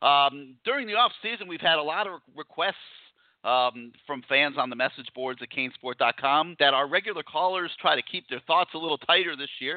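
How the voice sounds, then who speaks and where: A man with a normal speaking voice talks at a moderate pace, his pitch fairly high and his intonation lively. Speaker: sports talk radio host. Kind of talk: call-in sports talk show. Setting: studio.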